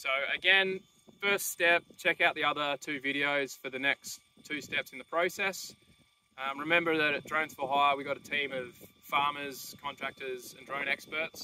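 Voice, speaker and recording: At a moderate pace, a man speaks with a bright, sharp tone and fairly even intonation, the sound dry with no echo and light background noise present. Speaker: drone seller. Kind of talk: tutorial. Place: open country.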